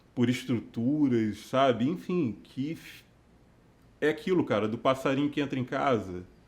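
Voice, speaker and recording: A man talks fairly slowly in a medium pitch, varying it in an ordinary way. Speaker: worship leader. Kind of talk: casual chat. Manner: hesitant, many fillers.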